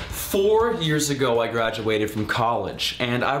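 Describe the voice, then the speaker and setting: The tone is upbeat and energetic. Pitch swings very widely. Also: man. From Canada. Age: 20s. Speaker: travel video host and freelance videographer. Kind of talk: travel host demo reel, casual talk to camera. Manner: upbeat, energetic, playful.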